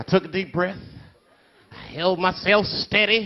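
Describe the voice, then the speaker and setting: A man's high voice over noticeable background noise. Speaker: comedian. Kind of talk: comic poetry performance. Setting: live stage with audience.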